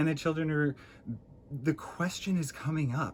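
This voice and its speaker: Vocal fry runs through a man's animated American-accented speech, delivered at a fairly slow pace. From US Midwest, Illinois. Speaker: vlogger. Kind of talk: casual monologue.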